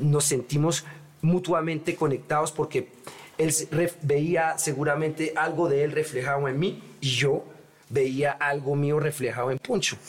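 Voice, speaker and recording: With a plain, everyday voice, a man speaks at a fairly slow pace, fairly high in pitch and with fairly even intonation. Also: very even loudness. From Paris, France, Colombian parents. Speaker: rapper. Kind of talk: casual chat.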